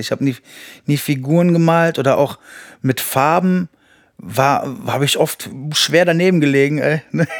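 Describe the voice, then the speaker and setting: A man with a plain, everyday voice talks at a moderate pace, his fairly high pitch showing ordinary pitch variation. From Berlin, then Düren (Rhineland). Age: 40s. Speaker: rapper. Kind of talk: casual chat.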